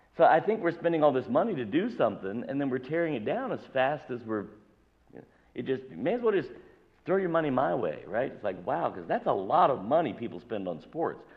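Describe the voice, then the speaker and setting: A loud man at a fairly quick pace and fairly high pitch, with vocal fry and very wide pitch swings. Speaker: pastor. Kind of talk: sermon. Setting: church.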